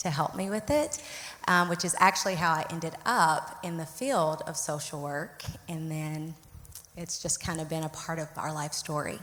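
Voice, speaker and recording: A woman speaks in a Southern US accent, her fairly low voice moving with fairly even intonation. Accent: Southern drawl. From Arkansas, US South. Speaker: licensed clinical social worker, therapist. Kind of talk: panel interview.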